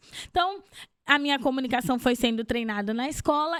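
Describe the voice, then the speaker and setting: With lively intonation, a woman speaks at a moderate pace in a high pitch. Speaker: therapist and speaker. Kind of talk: interview. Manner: clear, measured pace.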